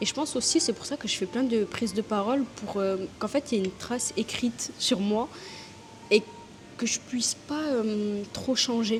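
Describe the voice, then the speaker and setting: A soft-spoken woman talks at a moderate pace and fairly high pitch, with ordinary pitch variation. Noticeable background noise runs underneath. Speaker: content creator and small brand owner. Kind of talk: casual vlog monologue. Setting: restaurant. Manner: hesitant with fillers.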